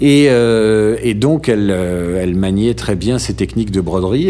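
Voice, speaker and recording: A man with a fairly low pitch and very wide pitch swings at a fairly slow pace, plus audible room echo and noticeable background noise. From France, Normandy and Marseille. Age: 40s. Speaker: radio journalist. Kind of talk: casual interview.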